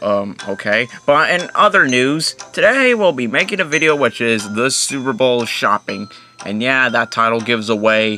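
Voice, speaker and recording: Moderate-paced male speech over faint background music. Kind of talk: puppet show intro chat. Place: home room. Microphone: phone near.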